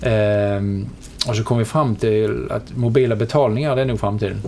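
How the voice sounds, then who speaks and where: Noticeable background noise accompanies a man with a Scanian accent. He speaks at a moderate pace with a fairly low pitch. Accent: Skåne dialect. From southern Sweden (Skåne, Helsingborg). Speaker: media company chief executive. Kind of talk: interview. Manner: halting, many repetitions and fillers.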